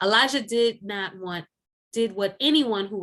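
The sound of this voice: Pitch varies in an ordinary way as an unforced voice reads, with little sound behind it.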